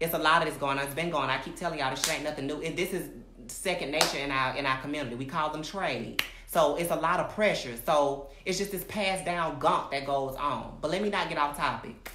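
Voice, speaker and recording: A very deep, low-pitched woman's voice at a very fast pace, with audible room echo and noticeable background noise. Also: ordinary pitch variation. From Alabama, US South. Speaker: recording artist and social media personality. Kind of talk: livestream monologue. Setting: live video stream. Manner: animated, emphatic; halting, self-interrupting.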